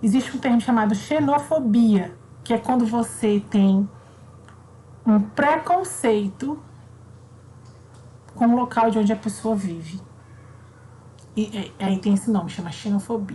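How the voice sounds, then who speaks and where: A woman talks at a fairly slow pace with long, frequent pauses. Her fairly high voice carries lively intonation. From Brazil, raised in Southeast by Northeastern family. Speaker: primary school teacher. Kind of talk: online class for children. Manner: casual, conversational.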